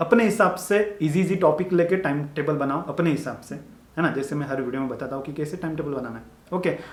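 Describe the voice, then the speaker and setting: A man with a fairly high pitch speaks at a moderate pace, with audible room echo and noticeable background noise. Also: ordinary pitch variation, hardly any pauses. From Maharashtra, India (village). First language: Marathi (speaking Hindi). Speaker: medical student YouTuber. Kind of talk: motivational advice talk. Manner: casual, repetitive conversational.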